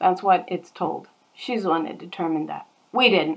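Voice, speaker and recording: A woman speaks with a normal speaking voice at medium pitch. Her pace is moderate. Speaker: bible teacher. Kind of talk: bible study.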